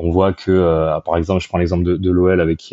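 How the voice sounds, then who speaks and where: The man's voice is very deep and low in pitch. He talks at a moderate pace with monotone, flat intonation. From southern France, Arles. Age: 30s. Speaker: sports marketing digital director. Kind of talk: interview conversation. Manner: halting, many repetitions and fillers.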